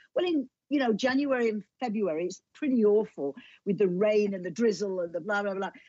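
This woman has a dark, mellow tone. She talks at a fairly quick pace with lively intonation. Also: medium pitch for a woman. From northern England, near Liverpool. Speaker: author and television presenter. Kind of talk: casual interview.

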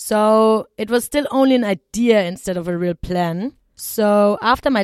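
In a very clean recording with a silent background and a dry, close sound with no echo, a woman with a German accent speaks at a medium pitch with ordinary pitch variation. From southern Germany. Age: 20s. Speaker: travel podcast host. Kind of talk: personal storytelling monologue.

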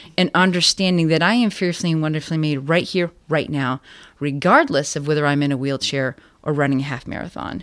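Music plays behind a woman whose very deep, low voice moves at a fairly quick pace with ordinary pitch variation. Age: 40s. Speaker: guest sharing health testimony. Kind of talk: testimony.

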